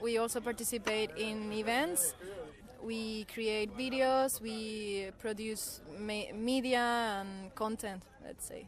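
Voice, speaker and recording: A woman at fairly high pitch with fairly even intonation, big swings in loudness and a very slow pace. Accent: Spanish. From southern Spain, near Seville. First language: Spanish. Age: 20s. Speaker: volunteer. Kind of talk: radio interview.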